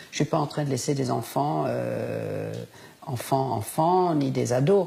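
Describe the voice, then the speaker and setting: Against noticeable background noise, a woman speaks very slowly. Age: 70s. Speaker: interviewee on end-of-life choice. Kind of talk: interview. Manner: hesitant with many fillers.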